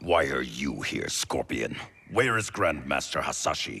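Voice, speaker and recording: A man growls in a put-on character voice with a very deep, low pitch. The pace is moderate. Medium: short film. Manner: suspicious, stern.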